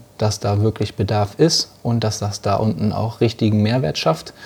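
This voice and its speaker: The man's intonation stays fairly even. His pitch sits fairly low. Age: 20s. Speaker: coffee importer and entrepreneur. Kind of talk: interview conversation. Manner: confident, professional.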